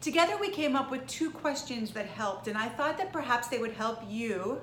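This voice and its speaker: The intonation is lively, heard through noticeable background noise and audible room echo. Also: woman. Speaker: trial lawyer and speaking coach. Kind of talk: video tip talk to camera.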